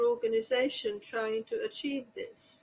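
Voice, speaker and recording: A woman talks at a fairly slow pace. There is light background noise behind her. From Hungary, Budapest, then Australia. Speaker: historian and author; panelist. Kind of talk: panel discussion. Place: home room. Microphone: video call.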